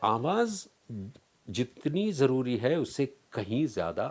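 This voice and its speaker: This man's voice shows vocal fry and very wide pitch swings. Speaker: voice-over artist. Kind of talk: interview answer.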